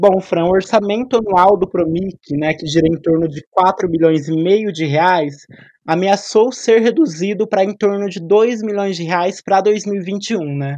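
Fairly slow speech from a man with a high pitch, the pitch varying in an ordinary way. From Cambé, Paraná, Brazil. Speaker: reporter, journalism student. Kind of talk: casual discussion.

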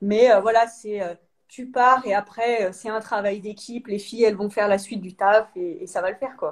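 Speaking in an ordinary speaking voice, a woman with a fairly high pitch talks at a moderate pace with fairly even intonation and big swings in loudness. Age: 30s. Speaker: sprinter, 400 m athlete. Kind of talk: live interview.

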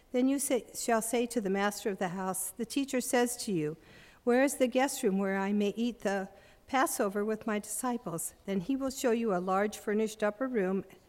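A plain, everyday voice from a woman, fairly high in pitch, with ordinary pitch variation. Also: moderate pace. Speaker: congregation scripture reader. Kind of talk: scripture reading.

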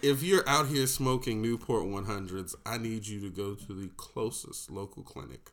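This man talks at a moderate pace and a medium pitch, with big swings in loudness and hardly any pauses. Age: 30s. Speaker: podcast host. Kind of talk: casual banter podcast.

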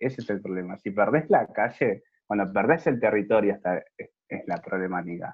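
A man's fairly low-pitched voice, lively in intonation, at a moderate pace. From Argentina, Buenos Aires province (Moreno). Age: 20s. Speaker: HIV youth network activist. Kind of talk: interview.

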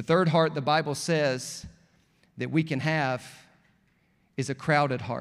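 In an Alabama accent, the speaker talks at a fairly slow pace with a warm, animated tone and long, frequent pauses. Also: man, fairly high pitch for a man. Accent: Southern US (Alabama). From US South, rural Alabama. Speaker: pastor. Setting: church stage with live congregation, also streamed online. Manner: animated, building to emphatic calls for response ("come on", "oh, but"); warm, conversational and joking, with laughs between points.

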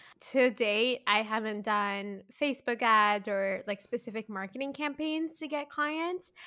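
With an ordinary speaking voice, a woman speaks at a fairly slow pace and fairly high pitch, her intonation lively. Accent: Canadian. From Canada, Mississauga (Greater Toronto Area). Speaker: photographer and videographer, business owner. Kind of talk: interview, casual chat.

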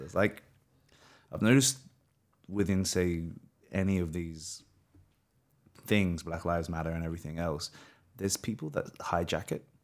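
A man with an Australian accent talks at a moderate pace in a very deep, low pitch, with ordinary pitch variation. He leaves long, frequent pauses, and the recording is very clean with a silent background. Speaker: podcast host and actor. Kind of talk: casual interview chat.

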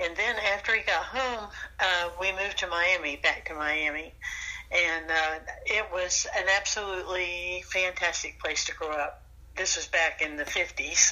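In a Southern US accent, a woman talks at a fairly slow pace and a fairly low pitch with fairly even intonation. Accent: Southern US (Georgia). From US South, rural South Georgia. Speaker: retired flight attendant, grandmother. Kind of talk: casual interview.

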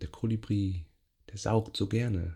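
The voice has a gentle, calm tone. It moves at a very slow pace. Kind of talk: guided meditation (yoga nidra). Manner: slow, soft, gentle, calm, with long pauses.

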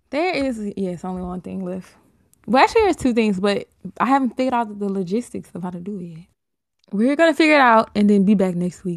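Very fast speech with lively intonation and big swings in loudness. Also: woman, medium pitch for a woman. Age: 20s. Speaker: podcast co-host. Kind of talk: casual chat.

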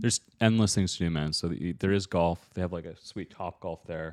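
At a moderate pace, a man with a Canadian accent speaks in a very deep, low pitch on a very clean recording with a silent background. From Ontario, Canada (London). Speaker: e-commerce entrepreneur and coach. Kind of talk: podcast interview. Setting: recorded on the road, not in usual studio.

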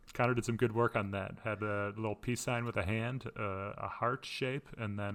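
A man talks in an ordinary speaking voice with fairly even intonation. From Florida. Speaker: podcast co-host, college sports broadcast director. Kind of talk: casual chat.

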